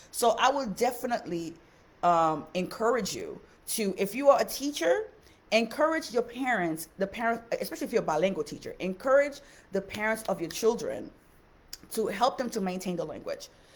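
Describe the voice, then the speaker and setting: A woman with a Haitian-American accent, moderate pace and lively intonation. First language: Haitian Creole. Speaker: teacher. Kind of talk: live stream talk. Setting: live stream on social media. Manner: casual, hesitant with fillers.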